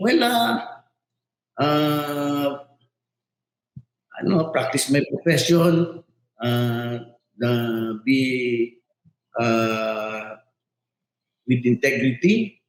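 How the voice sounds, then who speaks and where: A man at medium pitch with ordinary pitch variation, speaking at a very slow pace with long, frequent pauses. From Philippines, Davao City. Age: 60s. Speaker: lawyer and mayoral candidate. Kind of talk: interview. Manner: halting, many fillers.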